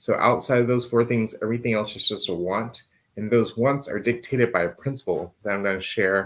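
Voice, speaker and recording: Soft-spoken and fairly quick, a man talks at a medium pitch with fairly even intonation. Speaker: insurance agent and finance show host. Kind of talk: live stream show. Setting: live stream with screen share.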